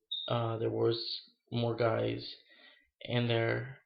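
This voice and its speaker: With audible room echo, a man talks at a very slow pace. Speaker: video blogger sharing personal story. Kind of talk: personal testimony. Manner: halting, many fillers.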